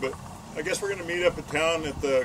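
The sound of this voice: Over clear background noise, a man speaks fast at a fairly high pitch. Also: ordinary pitch variation.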